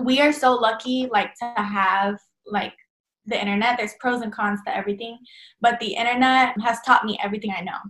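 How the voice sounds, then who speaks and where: In an American accent, a woman talks at a fairly quick pace and fairly high pitch with ordinary pitch variation, in an ordinary speaking voice. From Texas, Dallas. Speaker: fashion designer. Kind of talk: casual interview.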